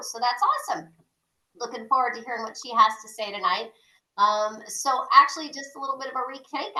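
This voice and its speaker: Her pitch is high, and this woman talks at a fairly quick pace. Her loudness swings widely while her pitch varies in an ordinary way. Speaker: real estate broker and group leader. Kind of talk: meeting host introduction.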